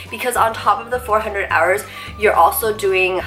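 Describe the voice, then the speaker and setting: Music plays in the background as a woman speaks with fairly even intonation. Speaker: nurse. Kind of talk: casual talk to camera.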